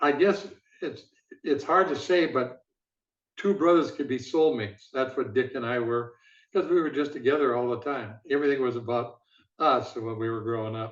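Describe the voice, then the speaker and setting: A man with an Upper Midwest accent, medium pitch, ordinary pitch variation and a moderate pace. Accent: Upper Midwest American. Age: 80s+. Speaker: former football executive. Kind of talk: interview.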